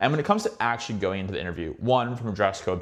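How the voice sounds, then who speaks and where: Here is a man with an American accent. He talks at a very fast pace in an animated tone. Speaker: finance YouTuber giving career advice. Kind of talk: casual advice monologue.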